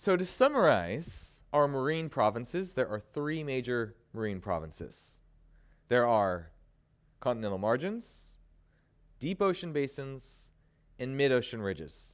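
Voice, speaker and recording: A man with a medium-pitched voice talks at a fairly slow pace with very wide pitch swings and long, frequent pauses, recorded very cleanly against a silent background. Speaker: college instructor. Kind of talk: lecture. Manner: animated.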